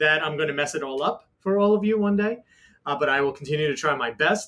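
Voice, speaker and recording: A man speaks in a New York accent with a bright, sharp tone. His pitch varies in an ordinary way. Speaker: technology executive. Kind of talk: panel interview.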